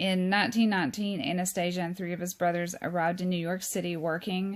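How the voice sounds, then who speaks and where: Over a very clean recording with a silent background, a woman talks at a moderate pace in a fairly low pitch with monotone, flat intonation. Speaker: true crime YouTuber. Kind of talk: informal talk reading from notes. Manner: hesitant, many fillers.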